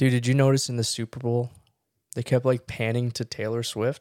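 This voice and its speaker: The recording is very clean, with a silent background. A man's voice sounds dry and close, with no echo. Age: 20s. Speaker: podcast host. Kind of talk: casual chat.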